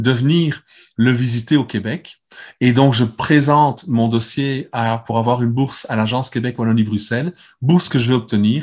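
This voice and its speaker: With a Belgian accent, a man speaks at medium pitch with ordinary pitch variation against a quiet background. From Belgium. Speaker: neuroscience speaker and clinician. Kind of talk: conference talk with Q&A.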